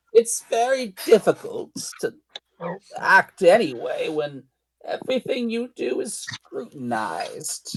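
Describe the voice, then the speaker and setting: At a fairly slow pace, the voice is delivered as a put-on character voice. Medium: actual play. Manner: sweet, grandmotherly.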